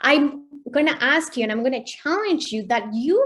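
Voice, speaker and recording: A woman is talking. Her speech carries a Spanish accent. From Mexico. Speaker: mindset coach. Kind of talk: online workshop presentation.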